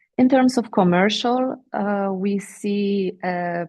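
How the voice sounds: The voice has a slightly mellow tone and vocal fry. Its intonation stays fairly even. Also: woman.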